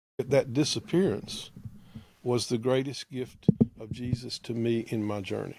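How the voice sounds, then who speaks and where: A man with an ordinary speaking voice speaks fairly slowly at a medium pitch, his loudness swinging widely while his pitch varies in an ordinary way. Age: 60s. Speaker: theologian and preacher. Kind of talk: casual chat.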